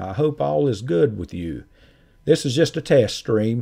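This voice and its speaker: In a Southern accent, a man speaks with a dark, mellow tone and very wide pitch swings, on a very clean recording with a silent background. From North Carolina. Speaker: scam-baiting YouTuber. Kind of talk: live stream chat.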